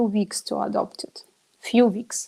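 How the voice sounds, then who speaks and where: The speaker is a woman with a non-native accent. She talks at a fairly slow pace. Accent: non-native English pronunciation. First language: not English. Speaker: biohacker, event organizer. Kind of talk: interview. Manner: halting, many fillers.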